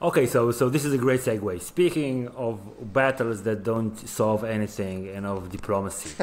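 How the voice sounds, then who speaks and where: Noticeable background noise accompanies a man of medium pitch with ordinary pitch variation. He keeps a moderate pace with hardly any pauses. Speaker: podcast host. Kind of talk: interview.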